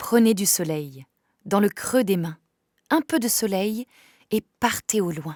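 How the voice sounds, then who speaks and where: A woman speaks at a very slow pace with very wide pitch swings. The sound is dry and close, with no echo. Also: very clean recording, silent background. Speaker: voice actor. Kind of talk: poetry reading.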